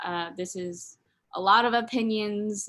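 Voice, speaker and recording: A bright, sharp tone with ordinary pitch variation comes through on a very clean recording with a silent background. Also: woman. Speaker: student workshop host. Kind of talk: workshop presentation. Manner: fast.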